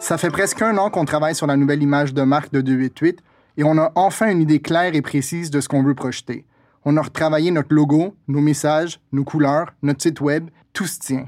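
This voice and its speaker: On a very clean recording with a silent background, a man with an unremarkable speaking voice talks at a fairly quick pace, his fairly high pitch held in fairly even intonation. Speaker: podcast host and brand strategist. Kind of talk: casual chat. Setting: studio.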